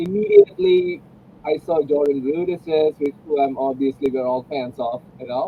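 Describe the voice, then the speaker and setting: A man talks at a moderate pace and fairly high pitch with ordinary pitch variation. There is noticeable background noise. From India, Kerala (Kochi). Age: 40s. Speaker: music producer. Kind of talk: casual conversation.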